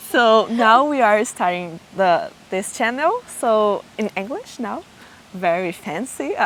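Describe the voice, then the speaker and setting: A woman speaks very slowly in a Portuguese accent, her pitch fairly high. Her intonation is lively, and there is noticeable background noise. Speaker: podcast host. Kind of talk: casual interview chat. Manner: halting.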